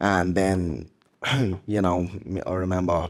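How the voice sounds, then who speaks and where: A man's very deep, low voice with a Dublin accent, in a very clean recording against a silent background. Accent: Dublin Irish. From Ireland, Dublin inner city. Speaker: former MMA fighter. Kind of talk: interview. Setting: stage with audience.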